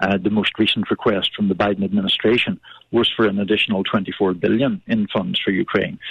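This man has an unremarkable speaking voice, fairly low in pitch, moving at a fairly quick pace with very even loudness. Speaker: political journalist. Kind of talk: radio interview.

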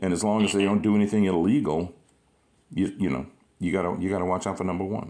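Delivered at a very fast pace yet broken by long, frequent pauses, the voice has a dark, mellow tone and fairly even intonation. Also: man, very deep, low pitch for a man. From Louisiana, Gonzales. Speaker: podcast host and actor. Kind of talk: casual interview chat.

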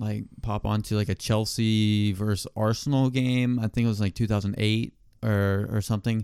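A man with a plain, everyday voice talks at a moderate pace, his pitch fairly low and his intonation fairly even. The recording is very clean, with a silent background. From South Carolina, US South. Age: 20s. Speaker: podcast co-host, college student. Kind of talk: casual chat.

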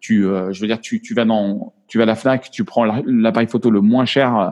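The man's pitch is medium, with ordinary pitch variation. He talks at a moderate pace. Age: 50s. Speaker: photographer. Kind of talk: interview. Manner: halting.

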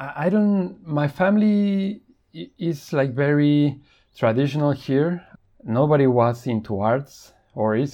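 Lively intonation with a Spanish accent. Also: man. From Mexico. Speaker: photojournalist. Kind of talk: interview. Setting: remote call. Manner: halting.

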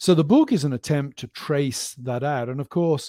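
Speaking in an English accent at a moderate pace, a man with a fairly high pitch and a dark, mellow tone uses lively intonation. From West of England (Gloucestershire), born in Birmingham. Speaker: professor. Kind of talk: interview. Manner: halting.

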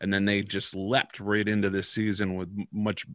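A man with a fairly low pitch at a fairly quick pace, dry and close with no echo. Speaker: podcast host. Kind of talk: casual chat. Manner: rambling, halting.

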